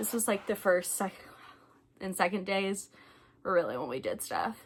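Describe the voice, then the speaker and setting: A woman's medium-pitched voice in a strong Southern US accent, with ordinary pitch variation. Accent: thick Southern US. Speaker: travel vlogger. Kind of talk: casual review vlog. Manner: casual, chatty with fillers.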